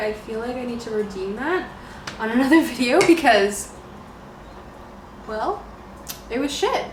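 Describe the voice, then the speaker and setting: A woman with a Canadian accent speaks at a moderate pace and a fairly high pitch, with lively intonation. Noticeable background noise and audible room echo surround her. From Canada, Ontario. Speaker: beauty vlogger. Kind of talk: casual makeup tutorial chat.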